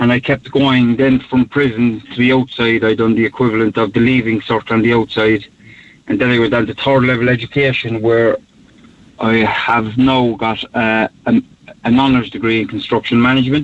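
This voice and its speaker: A man with a Cork accent talks at a fairly quick pace and medium pitch, his intonation monotone and flat. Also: very even loudness. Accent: Cork Irish. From Cork city, north side. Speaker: podcaster and mental health advocate. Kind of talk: interview. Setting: phone call.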